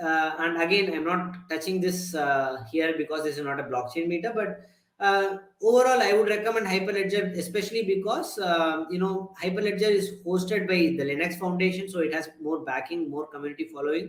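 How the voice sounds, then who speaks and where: A man speaks at a fairly quick pace in a high voice, with ordinary pitch variation and hardly any pauses. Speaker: tech conference speaker. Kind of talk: lecture. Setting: meetup talk with audience. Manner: fast; hesitant, many fillers.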